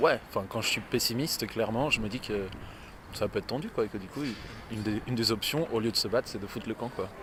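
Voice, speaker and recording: Very fast speech from a man at medium pitch. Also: ordinary pitch variation. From Spain. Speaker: street interviewee. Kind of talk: street interview.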